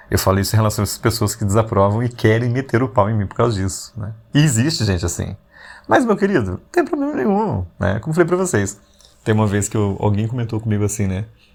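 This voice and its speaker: Over music in the background, a man speaks at a very fast pace in a medium pitch with ordinary pitch variation. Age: 40s. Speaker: podcast host. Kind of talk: casual reflective monologue. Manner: conversational, with frequent fillers.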